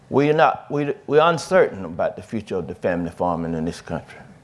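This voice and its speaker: In a Mississippi accent, a man talks at a moderate pace. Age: 60s. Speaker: farmer and farm advocate. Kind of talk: panel discussion. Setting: stage with audience. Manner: halting.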